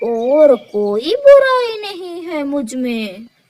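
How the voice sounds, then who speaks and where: A woman's voice, high-pitched. She speaks in a cartoonish character voice. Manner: rough, bullying.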